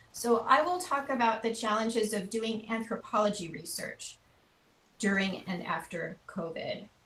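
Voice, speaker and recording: Lively in intonation, a woman with an American accent speaks at a fairly high pitch over noticeable background noise. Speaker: anthropology researcher. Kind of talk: webinar presentation. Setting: video call. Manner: deliberately not too fast.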